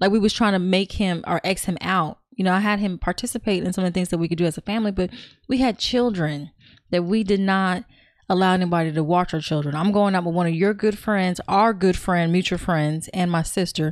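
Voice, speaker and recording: A woman with an American accent, an ordinary speaking voice at medium pitch, fairly quick pace, ordinary pitch variation and very even loudness, in a very clean recording with a silent background. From California. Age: 40s. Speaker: podcast guest. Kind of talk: casual chat.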